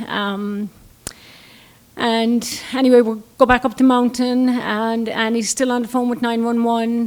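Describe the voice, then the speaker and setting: A woman's fairly high voice with an Irish accent, fairly slow and flat in a monotone. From Ireland. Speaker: storyteller. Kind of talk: storytelling.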